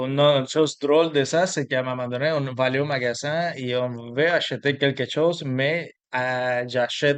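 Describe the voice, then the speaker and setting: A man speaks with a Cuban accent at medium pitch. His pace is moderate and his intonation fairly even. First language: Spanish (speaking French). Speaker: immigrant sharing his story. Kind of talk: interview. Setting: video interview with his wife. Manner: halting, many repetitions.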